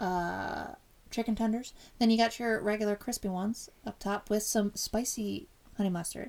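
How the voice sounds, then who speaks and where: A woman's unremarkable speaking voice, fairly high in pitch, at a moderate pace with fairly even intonation. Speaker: podcast co-host. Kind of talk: casual chat.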